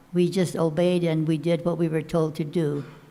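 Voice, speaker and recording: A woman with an American accent speaks in a monotone, her pitch fairly low. Audible room echo surrounds her voice. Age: 90s. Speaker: former internment camp internee. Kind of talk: panel discussion testimony. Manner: halting, many fillers and repeats.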